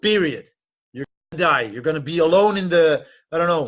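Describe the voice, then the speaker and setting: A man with a Dutch accent, against a quiet background. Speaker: dating and relationship coach. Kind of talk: live webinar talk.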